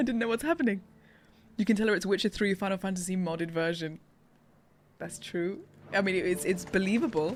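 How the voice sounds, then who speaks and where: A woman with a British accent, medium-pitched, at a fairly quick pace with long, frequent pauses and ordinary pitch variation, on a very clean recording over a silent background. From England. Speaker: streamer and voice actor. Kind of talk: live gameplay stream chat. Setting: live stream. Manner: animated.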